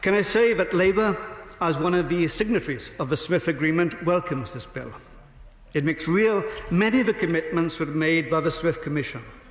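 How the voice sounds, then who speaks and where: Over noticeable background noise, a man in a Welsh accent talks at a fairly quick pace with a high pitch and ordinary pitch variation. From Wales. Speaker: member of parliament. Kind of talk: parliamentary debate speech. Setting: parliament chamber. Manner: formal.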